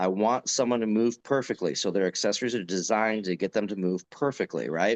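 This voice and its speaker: Here is a man with a plain, everyday voice and ordinary pitch variation. He speaks at a fairly quick pace with hardly any pauses. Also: fairly low pitch for a man. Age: 40s. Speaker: strength coach and gym owner. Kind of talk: podcast interview. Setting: video call.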